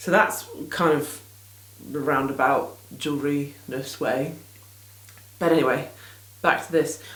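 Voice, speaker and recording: Her voice very deep and low, a woman with an English accent speaks at a fairly slow pace with ordinary pitch variation. Long, frequent pauses break up her speech, and room echo is audible. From England. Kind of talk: casual vlog chat. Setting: small home studio in garden. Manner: rambling, hesitant with many ums.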